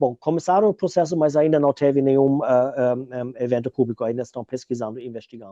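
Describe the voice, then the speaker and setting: A man speaks very fast with a non-native accent, his medium-pitched voice dark and mellow, with ordinary pitch variation and a dry, close sound with no echo. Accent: foreign accent in Portuguese. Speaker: researcher and activist. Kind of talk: interview. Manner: halting, many hesitations.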